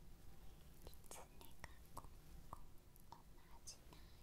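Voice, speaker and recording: Very slowly, a soft-spoken woman whispers. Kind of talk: soft ASMR roleplay talk. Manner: soft ASMR whisper, close to mic.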